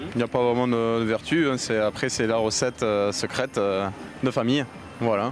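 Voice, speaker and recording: Amid noticeable background noise, a man at medium pitch speaks at a moderate pace with very even loudness and fairly even intonation. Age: young. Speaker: beekeeper and vendor. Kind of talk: on-location interview.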